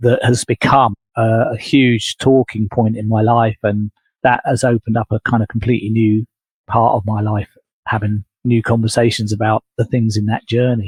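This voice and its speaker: Monotone, flat intonation from a somewhat breathy man at medium pitch and a moderate pace, in a dry, close sound with no echo. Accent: English. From England. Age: 60s. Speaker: leadership coach. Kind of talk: podcast interview.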